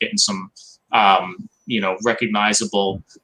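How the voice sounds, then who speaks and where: With a New York accent, a man speaks in a fairly low, bright, sharp voice with monotone, flat intonation. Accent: Staten Island. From New York, Staten Island. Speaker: marketing company executive. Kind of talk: casual interview chat. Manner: calm, soothing; direct, assured.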